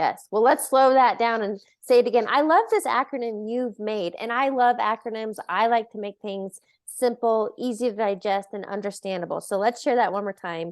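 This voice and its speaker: A woman speaks in an ordinary speaking voice at a fairly high pitch and a moderate pace, with ordinary pitch variation. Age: 30s. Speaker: podcast host. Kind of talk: interview.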